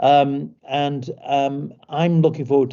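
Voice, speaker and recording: A man speaks with a British accent. His voice has a medium pitch. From Britain. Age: 60s. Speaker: company executive. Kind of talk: online information session talk. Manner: halting, many repetitions and fillers.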